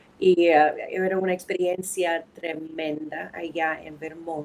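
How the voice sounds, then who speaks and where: Very slowly, a woman with an American accent speaks at a fairly low pitch in a monotone, flat intonation. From New England, US (New Hampshire, Boston). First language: English (speaking Spanish). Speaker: anthropologist and lawyer. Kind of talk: podcast interview. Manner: halting.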